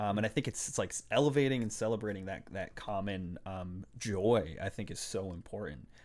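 A man with an unremarkable speaking voice talks at a fairly quick pace with a fairly low pitch, ordinary pitch variation and hardly any pauses. The recording is very clean, with a silent background. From Boston, Massachusetts (Puerto Rican family). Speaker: podcast guest. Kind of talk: casual chat.

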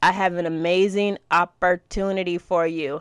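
A woman speaks in a bright, sharp tone. Her delivery is animated and energetic. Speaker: social media marketing podcast host and course creator. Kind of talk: podcast tutorial with sales pitch. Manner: fast talker; animated, casual, energetic.

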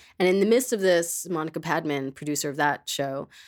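A woman with an American accent speaks at a moderate pace in a plain, everyday voice, her fairly low pitch carrying lively intonation in a very clean recording with a silent background. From Queens, New York City. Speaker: podcast host. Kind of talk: casual chat; scripted narration.

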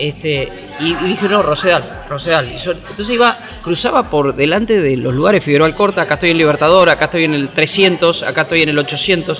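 A man's high-pitched voice at a fairly quick pace, with ordinary pitch variation and crowd noise in the background. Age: 50s. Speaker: sports journalist. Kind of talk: interview. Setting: café.

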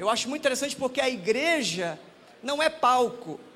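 A man's extremely high-pitched voice comes through audible room echo and noticeable background noise. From Manaus, northern Brazil. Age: 30s. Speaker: pastor. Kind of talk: sermon. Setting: church.

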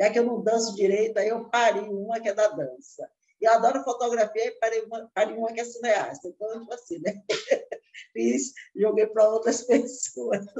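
Her voice fairly high in pitch yet dark and mellow in tone, a woman speaks at a moderate pace with fairly even intonation. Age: 60s. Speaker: chef and cookbook author. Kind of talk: interview.

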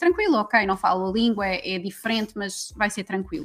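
Music plays in the background as a woman speaks. Her pitch is medium and her pace moderate. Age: 30s. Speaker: women's empowerment coach. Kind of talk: casual chat.

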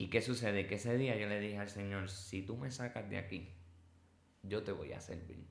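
With a Puerto Rican accent, a man talks at a moderate pace in a fairly low pitch and fairly even intonation, with audible room echo around him. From Puerto Rico. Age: 30s. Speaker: former inmate turned preacher. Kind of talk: testimony.

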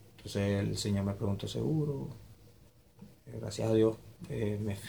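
A man with a dark, mellow tone and fairly low pitch sounds somewhat breathy amid audible room echo. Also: long, frequent pauses. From Venezuela, Maturín, Monagas (eastern Venezuela). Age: 20s. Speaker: migrant telling his story. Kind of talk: interview testimony. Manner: halting, many repetitions.

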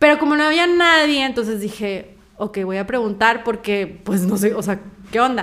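With a Mexican accent, a woman speaks at a fairly high pitch. Her intonation is lively. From Mexico. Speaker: coffee brand founder and actress. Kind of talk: interview.

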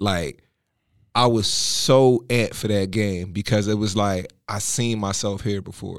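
This man has a fairly low pitch and an unremarkable speaking voice, talking at a fairly slow pace with an American accent. His intonation stays fairly even. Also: very clean recording, silent background. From Philadelphia, US. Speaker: entrepreneur, former college football player. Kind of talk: casual interview.

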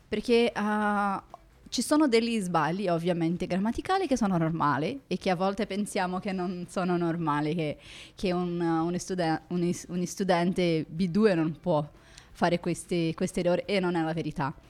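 With ordinary pitch variation, a woman speaks in a fairly low voice at a fairly slow pace. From Brazil. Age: 30s. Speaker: lawyer and language student. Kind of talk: casual interview. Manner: halting, many fillers.

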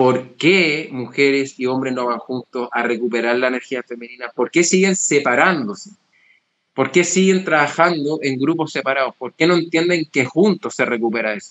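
Here is an unremarkable speaking voice at a moderate pace. Pitch varies in an ordinary way. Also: man, fairly high pitch for a man. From Chile. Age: young. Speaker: psychologist and men's work facilitator. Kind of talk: interview.

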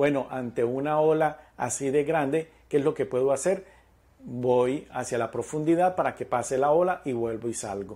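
The voice belongs to a man, dark and mellow in tone. His pitch varies in an ordinary way. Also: fairly high pitch for a man, moderate pace. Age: 40s. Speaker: spiritual podcast host and numerology coach. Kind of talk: reflective monologue.

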